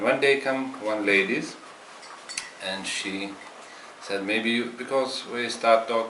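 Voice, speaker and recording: There is noticeable background noise and audible room echo. A man with a Lithuanian accent speaks at a moderate pace with fairly even intonation. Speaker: meditation practitioner, former juice bar owner. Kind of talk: testimony. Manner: halting.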